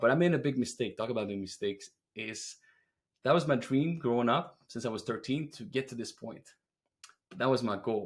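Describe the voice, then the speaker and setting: A man with a Quebec accent at medium pitch, moderate pace, ordinary pitch variation and big swings in loudness, on a very clean recording with a silent background. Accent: French Canadian accent in English. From Quebec, French Canada. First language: French. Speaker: roofing business owner. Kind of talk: podcast interview.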